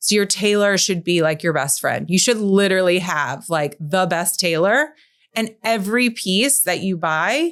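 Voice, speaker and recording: On a very clean recording with a silent background, a woman with a normal speaking voice speaks at a moderate pace, with a medium pitch, lively intonation and very even loudness. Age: 40s. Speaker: stylist. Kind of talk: casual chat. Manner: casual, filler-heavy.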